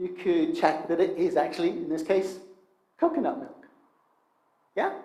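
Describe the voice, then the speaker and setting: A man talks at a moderate pace, with his pitch swinging very widely. Room echo is audible. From Northern Ireland, Coleraine. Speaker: preacher. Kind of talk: sermon.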